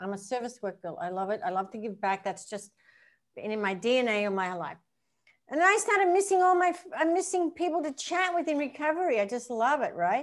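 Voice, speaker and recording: Speaking at a fairly quick pace with an Australian accent, a woman has a high pitch and very wide pitch swings. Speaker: professional golfer and recovery coach. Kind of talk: casual interview chat. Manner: animated.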